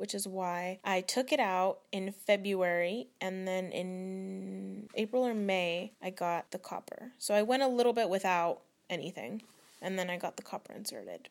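A woman speaks at a fairly slow pace with an American accent, her pitch medium and its variation ordinary. The recording is very clean, with a silent background. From Northern California. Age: 20s. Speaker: young mother. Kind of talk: interview testimony.

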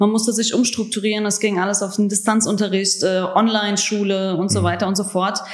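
A woman of medium pitch talks at a fairly quick pace over noticeable background noise, with audible room echo. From Germany, Hesse (Frankfurt area), Croatian family. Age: 20s. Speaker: trainee teacher. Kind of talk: interview.

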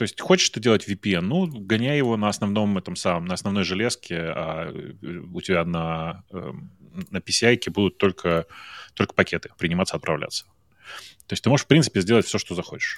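On a very clean recording with a silent background, a man with a fairly low voice speaks at a moderate pace using lively intonation. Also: dry, close sound with no echo. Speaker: tech podcaster. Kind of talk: casual chat.

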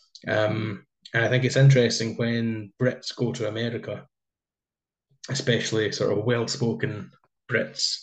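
Over a quiet background, a man with a medium pitch talks at a fairly slow pace in a somewhat breathy voice, his intonation fairly even and his pauses long and frequent. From Scotland. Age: 20s. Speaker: podcast host. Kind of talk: casual interview conversation.

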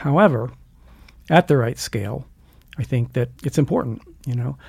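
A somewhat breathy, medium-pitched man with an American accent, moderate in pace, with ordinary pitch variation, on a very clean recording with a silent background. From US Mid-Atlantic (Delaware). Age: 60s. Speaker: blacksmith and school director. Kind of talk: casual interview.

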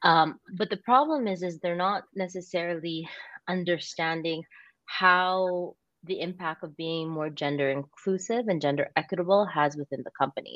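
A woman with a Canadian accent has a plain, everyday voice, fairly low in pitch, with ordinary pitch variation and a moderate pace. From Canada. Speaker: impact investment consultant, CEO. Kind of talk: interview.

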